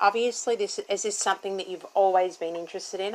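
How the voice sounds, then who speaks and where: The woman speaks at a medium pitch with an Australian accent. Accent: thick Australian. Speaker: interviewer. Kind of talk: interview.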